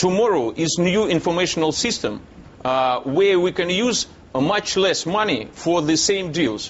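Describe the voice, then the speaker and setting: In a Russian accent, a high-pitched man speaks at a moderate pace with lively intonation and very even loudness. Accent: Russian accent, non-native English. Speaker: businessman. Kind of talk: TV news interview. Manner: halting, many hesitations.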